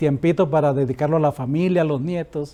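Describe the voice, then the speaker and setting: This man speaks at a moderate pace with a dark, mellow tone. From Colombia, Santa Marta (Caribbean coast). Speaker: retired pastor. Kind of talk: interview.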